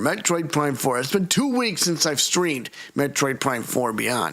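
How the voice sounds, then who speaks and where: This man's voice sits fairly high in pitch and moves at a moderate pace. Noticeable background noise runs behind him. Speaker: gaming streamer and podcast host. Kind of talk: live game stream chat. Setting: home recording studio, live stream. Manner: halting, repeated false starts.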